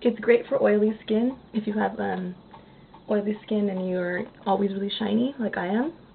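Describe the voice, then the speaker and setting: Over noticeable background noise, a woman at medium pitch speaks at a moderate pace with fairly even intonation. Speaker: beauty vlogger. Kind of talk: makeup tutorial. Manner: hesitant, many fillers.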